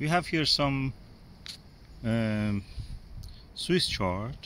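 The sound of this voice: Very slow in pace, a man speaks at medium pitch with a fairly bright tone and lively intonation.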